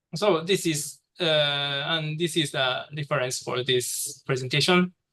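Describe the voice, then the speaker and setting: With a Japanese accent, a man talks at a very slow pace in a bright, sharp tone with fairly even intonation. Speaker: presenter, researcher. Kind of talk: academic presentation. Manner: halting.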